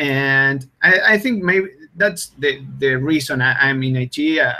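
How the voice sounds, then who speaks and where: A man with an Argentine accent, fairly high-pitched, at a fairly slow pace with ordinary pitch variation. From Argentina. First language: Spanish. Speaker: blockchain software developer. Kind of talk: interview.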